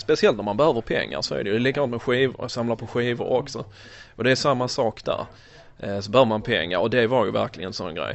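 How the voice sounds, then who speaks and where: A man speaks very fast at a medium pitch. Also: ordinary pitch variation. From born in USA, raised in Sweden. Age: 30s. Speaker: toy collector. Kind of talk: casual interview. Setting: in a shop.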